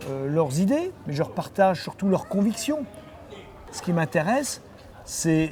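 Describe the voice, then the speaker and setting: Over noticeable background noise, a man with a high pitch talks at a fairly slow pace, his pitch swinging very widely between long, frequent pauses. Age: 60s. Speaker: mayor and politician. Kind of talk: interview answering a child. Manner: hesitant, many fillers.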